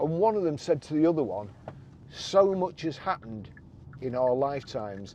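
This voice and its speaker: Lively intonation runs through a man's voice, which has a dark, mellow tone. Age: 60s. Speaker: car reviewer, veteran motor trader. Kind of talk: casual car review monologue. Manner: hesitant, repetitive.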